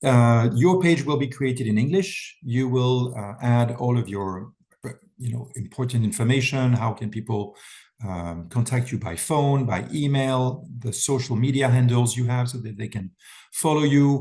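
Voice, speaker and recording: At a moderate pace, a man of medium pitch speaks in a somewhat breathy, dark, mellow tone, with ordinary pitch variation. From France. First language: French. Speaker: wellness event founder. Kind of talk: webinar presentation. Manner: talkative.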